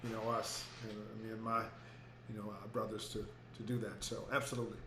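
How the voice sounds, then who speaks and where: A man with an American accent at a medium pitch, monotone and flat, at a very fast pace, with audible room echo and noticeable background noise. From Houston, Texas. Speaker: educator and author. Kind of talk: interview. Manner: halting, many fillers.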